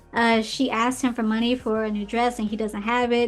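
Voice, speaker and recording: The speaker talks at a fairly quick pace while music plays in the background. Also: woman. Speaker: podcast host. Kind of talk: film review commentary. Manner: casual, conversational; stumbles over words.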